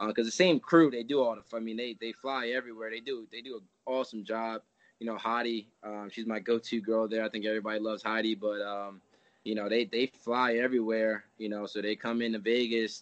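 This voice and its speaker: Here is a man with an American accent in a plain, everyday voice. His pitch is medium, his intonation fairly even, and his pace fairly quick. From US Northeast, New Jersey. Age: 30s. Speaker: MMA fighter. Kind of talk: interview. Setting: coach's office.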